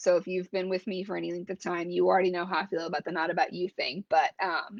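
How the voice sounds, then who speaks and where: A woman talks at a very fast pace with vocal fry. The sound is dry and close, with no echo. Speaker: brand strategist and coach hosting a live stream. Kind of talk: solo live stream talk. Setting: live video stream. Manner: casual with filler words.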